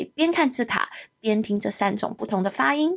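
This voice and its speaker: In a very clean recording with a silent background, a woman speaks at a fairly high pitch and moderate pace with lively intonation. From Hong Kong. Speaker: English teacher and podcast host. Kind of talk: podcast self-introduction.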